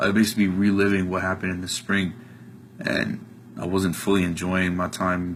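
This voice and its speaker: A man's very deep, low voice with an American accent, fairly even intonation and a fairly quick pace, with audible room echo. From US Northeast, New Jersey. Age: 20s. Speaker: college student giving a testimonial. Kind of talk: testimony. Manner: casual with many filler ums.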